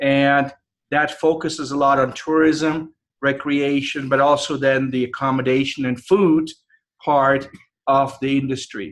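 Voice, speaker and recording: A man with a European accent, fairly high-pitched, at a fairly slow pace in a monotone, flat delivery. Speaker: professor. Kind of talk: guest lecture. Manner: casual, conversational.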